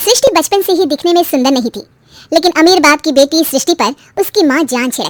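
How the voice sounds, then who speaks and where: A woman puts on a squeaky character voice with an extremely high pitch and lively intonation, at a fairly quick pace. The sound is dry and close, with no echo. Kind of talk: moral story narration. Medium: cartoon.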